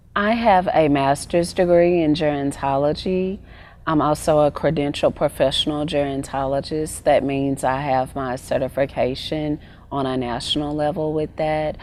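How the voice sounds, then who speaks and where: A woman's very deep, low voice in a Southern US accent, moderate in pace, with ordinary pitch variation. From Arkansas, US South. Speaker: wellness coach and gerontologist. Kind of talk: interview.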